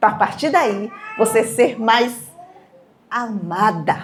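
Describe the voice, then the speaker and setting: A woman with a fairly high pitch talks while noticeable background noise carries on behind her. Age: 60s. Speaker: speaker at a cultural event. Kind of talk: motivational talk to a live audience.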